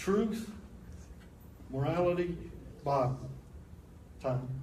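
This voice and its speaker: A man speaks at a very slow pace with a somewhat breathy voice. Audible echo from the room surrounds him. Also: fairly high pitch for a man. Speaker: apologetics teacher. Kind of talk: lecture. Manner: animated.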